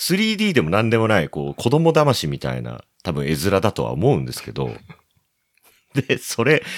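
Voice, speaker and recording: A man's very deep, low voice moves through very wide pitch swings. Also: dry, close sound with no echo. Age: 40s. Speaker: plastic model photographer and website operator. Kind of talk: casual chat.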